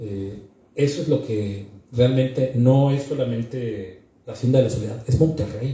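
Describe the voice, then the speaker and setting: Spoken in a northern Mexican accent at a fairly slow pace, with ordinary pitch variation. Audible room echo surrounds the voice. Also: man. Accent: northern Mexican, blunt delivery. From northern Mexico. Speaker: book presenter. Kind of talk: book presentation speech. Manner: blunt, forceful.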